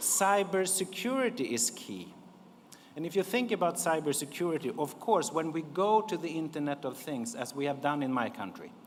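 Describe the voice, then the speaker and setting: Speaking at a moderate pace with a Swedish accent, a man with a fairly high pitch moves through very wide pitch swings. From Sweden. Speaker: diplomat. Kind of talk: conference speech.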